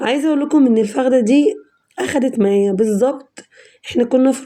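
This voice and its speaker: A woman's high-pitched voice with a dark, mellow tone, ordinary pitch variation and a moderate pace. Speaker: cooking channel host. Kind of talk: cooking tutorial. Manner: casual, chatty.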